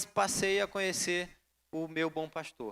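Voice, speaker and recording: A man with a Rio de Janeiro accent speaks in a bright, sharp tone. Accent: Carioca. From Rio de Janeiro, Brazil. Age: 20s. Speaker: preacher. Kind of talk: sermon.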